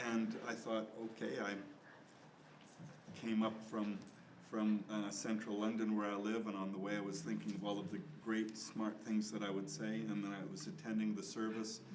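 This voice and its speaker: A man at a moderate pace with fairly even intonation, plus audible room echo and noticeable background noise. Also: fairly low pitch for a man. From Canada. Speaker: bishop. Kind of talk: panel discussion.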